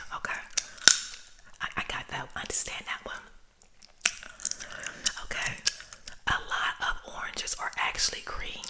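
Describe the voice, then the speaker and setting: Noticeable background noise sits under a whisper that moves at a moderate speed. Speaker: ASMR creator. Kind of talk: ASMR random facts with casual commentary. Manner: soft-spoken, friendly, conversational.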